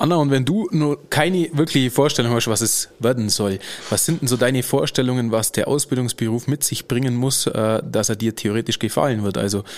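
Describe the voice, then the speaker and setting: Very fast pace from a man, with ordinary pitch variation. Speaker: podcast host. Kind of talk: casual interview. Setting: studio.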